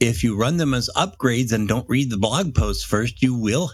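In a very clean recording with a silent background, a somewhat breathy man speaks at a medium pitch with lively intonation. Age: old. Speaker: podcast co-host. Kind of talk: casual chat.

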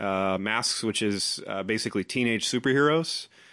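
A man with an unremarkable speaking voice, fairly low in pitch, at a moderate pace over a quiet background. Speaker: tabletop game master. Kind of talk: casual chat.

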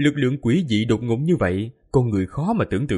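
With lively intonation, the clip presents an unforced reading voice.

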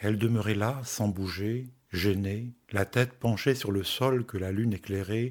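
Simple reading out loud.

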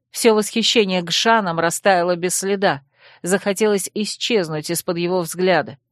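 The delivery is a natural reading voice with fairly even intonation.

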